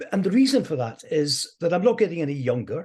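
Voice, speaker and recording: Someone speaks in a Scottish accent against a quiet background. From Scotland. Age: 70s. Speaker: motivational speaker. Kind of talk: interview.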